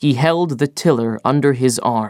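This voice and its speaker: A man at a very slow pace, with a dry, close sound and no echo. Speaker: actor, audiobook reader. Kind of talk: audiobook narration.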